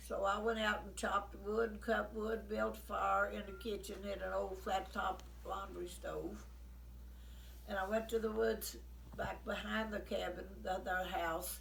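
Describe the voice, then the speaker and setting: With an Appalachian accent, a woman speaks at a fairly slow pace against noticeable background noise. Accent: Appalachian Kentucky. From rural Kentucky. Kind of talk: storytelling, oral history.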